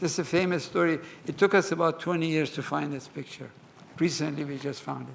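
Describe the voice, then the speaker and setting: This man speaks very fast at a fairly high pitch with vocal fry. His intonation stays fairly even. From Iran, Mashhad. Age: 80s+. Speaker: museum curator. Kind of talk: lecture with Q&A.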